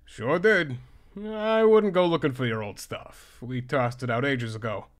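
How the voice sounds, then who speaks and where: A man's put-on character voice at medium pitch. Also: moderate pace. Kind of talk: comic dub. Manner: laid-back, terse.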